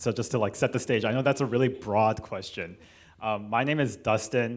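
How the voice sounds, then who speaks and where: A man with a Californian accent speaks at a fairly quick pace with fairly even intonation, on a very clean recording with a silent background. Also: medium pitch for a man. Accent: General American, California. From Los Angeles, California (Korean American). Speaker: cellist and panel moderator. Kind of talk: moderated panel discussion. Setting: church hall with live audience. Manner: hesitant, many fillers.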